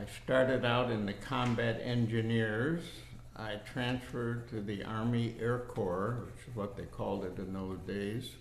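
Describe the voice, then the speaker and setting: Noticeable background noise and audible room echo accompany fairly slow speech with fairly even intonation. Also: man, medium pitch for a man. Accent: American. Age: 80s+. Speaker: war veteran. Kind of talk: oral history interview.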